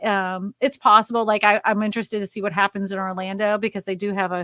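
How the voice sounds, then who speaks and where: A woman with a normal speaking voice and an American accent talks at a fairly quick pace in a medium pitch, captured in a very clean, silent-background recording with a dry, close sound and no echo. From Massachusetts. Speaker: real estate YouTuber. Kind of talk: live stream chat.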